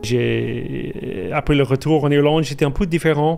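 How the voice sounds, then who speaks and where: A man with an Irish accent, very slow and fairly even in intonation, over noticeable background noise. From Ireland. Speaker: guest sharing life testimony. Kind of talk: testimony interview. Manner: halting, many repetitions and hesitations.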